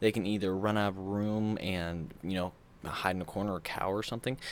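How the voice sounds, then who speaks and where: A man speaks in a very deep, low, monotone, flat voice. The recording is very clean, with a silent background. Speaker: gaming YouTuber. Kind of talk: casual vlog advice talk. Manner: halting, many fillers and restarts.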